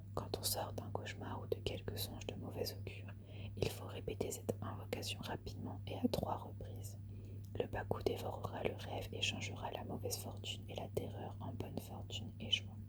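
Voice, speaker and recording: Whispering in a soft-spoken, calm tone at a moderate pace, the speaker is heard over noticeable background noise. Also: woman. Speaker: ASMR content creator. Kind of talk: literary reading of ghost tales. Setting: ASMR video, close-mic recording. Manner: whispered, soft, calm.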